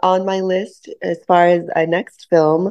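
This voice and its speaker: Against a quiet background, an ordinary speaking voice talks with fairly even intonation. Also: woman. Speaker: filmmaker. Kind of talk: radio interview. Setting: phone call.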